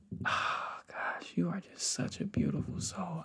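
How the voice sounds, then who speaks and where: Whispering in a playful tone, a soft-spoken man sounds somewhat breathy against a quiet background. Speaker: ASMR artist. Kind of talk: ASMR personal attention. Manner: soft whispering; casual, playful. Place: home room.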